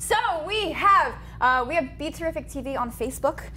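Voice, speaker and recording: A woman speaks in a raised, projected voice with an American accent. Her intonation is lively. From South Jersey. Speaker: gaming news show co-host. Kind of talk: casual chat. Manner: animated.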